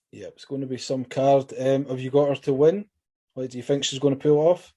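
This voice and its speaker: Speaking in a Scottish accent, a man with a fairly high pitch and a dark, mellow tone keeps a fairly quick pace and fairly even intonation. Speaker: MMA interviewer. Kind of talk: interview. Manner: fast.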